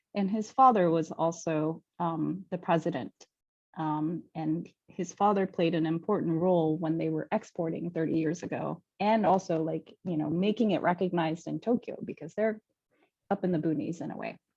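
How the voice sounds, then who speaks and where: Using a fairly low pitch, a woman moves through her words at a moderate pace. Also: ordinary pitch variation. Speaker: sake event host. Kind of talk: live online tasting presentation. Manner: casual, with many fillers.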